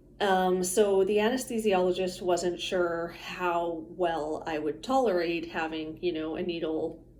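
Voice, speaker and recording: A woman's fairly low voice with fairly even intonation, in audible room echo. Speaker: vlogger sharing health experience. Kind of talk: casual personal vlog. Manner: casual, with frequent fillers.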